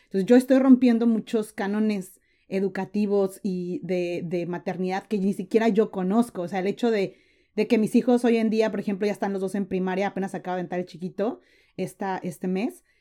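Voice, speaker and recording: With a Mexican accent, a woman speaks fairly quickly in a dark, mellow tone at a medium pitch, on a very clean recording with a silent background. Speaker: entrepreneur and content creator. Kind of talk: interview.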